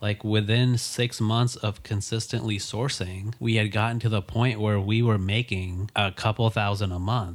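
In an American accent, a man with an unremarkable speaking voice talks at a fairly slow pace and fairly low pitch with fairly even intonation, on a very clean recording with a silent background. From Texas, Dallas. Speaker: podcast co-host, reseller. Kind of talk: casual chat.

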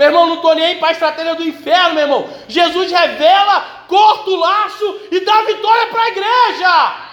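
Noticeable background noise runs under a man with an extremely high pitch. He keeps a moderate pace and ordinary pitch variation, with hardly any pauses. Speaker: preacher. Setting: church. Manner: conversational, direct address to the congregation.

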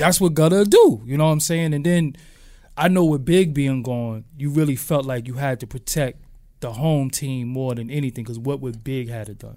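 Speaking in a New York accent, this man has a fairly high pitch and a dark, mellow tone. His pitch varies in an ordinary way, while his loudness swings widely. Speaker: podcast host. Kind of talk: casual chat interview.

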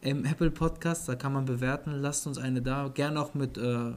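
The words come at a moderate speed in a monotone, flat intonation. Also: man. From Germany, Offenbach. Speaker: NBA podcast co-host. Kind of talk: casual chat.

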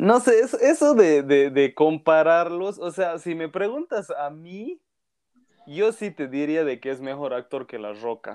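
This man talks very slowly. Nothing can be heard behind him. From Bolivia. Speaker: film content creator. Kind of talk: casual chat.

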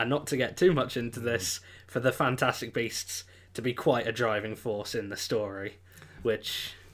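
A man speaks at a medium pitch with an English accent. His intonation stays fairly even. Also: moderate pace. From England. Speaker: film review podcaster. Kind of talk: casual chat.

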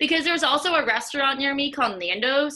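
Raising and projecting her voice, a woman talks at a moderate pace with a high pitch and lively intonation. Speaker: podcast host and running coach. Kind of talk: casual interview chat. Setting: video call.

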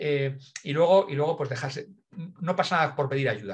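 Somewhat breathy and fairly quick, a man speaks at a fairly high pitch with lively intonation. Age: 50s. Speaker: innovation consultant. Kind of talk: interview. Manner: animated.

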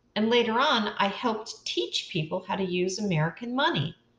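This voice is a natural reading voice with ordinary pitch variation.

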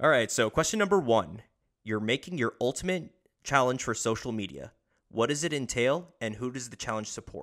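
In a plain, everyday voice, a man speaks at medium pitch and a fairly quick pace on a very clean recording with a silent background. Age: 20s. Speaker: podcast host. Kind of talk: casual interview.

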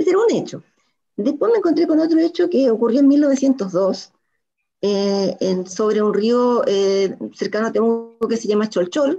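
Dark and mellow in tone, a woman's fairly high voice moves at a fairly slow pace with very wide pitch swings. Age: 60s. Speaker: writer. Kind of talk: interview.

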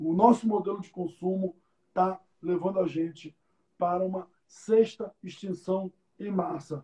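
At a fairly slow pace with long, frequent pauses, a man speaks at a high pitch in a dark, mellow tone, his intonation fairly even. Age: 30s. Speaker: city councillor and environmental engineer. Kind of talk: interview on a live stream.

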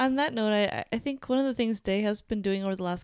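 A woman with an American accent at a fairly quick pace, ordinary pitch variation, and a very clean recording with a silent background. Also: dry, close sound with no echo. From upstate New York. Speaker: podcast co-host. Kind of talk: casual chat.

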